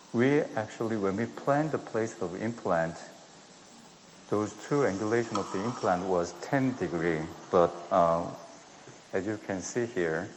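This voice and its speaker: Over noticeable background noise, a man with a Korean accent speaks at a fairly slow pace and a fairly low pitch, using lively intonation and long, frequent pauses. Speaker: dentist performing live surgery demonstration. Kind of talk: live surgical demonstration commentary. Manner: soft-spoken; halting. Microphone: too quiet.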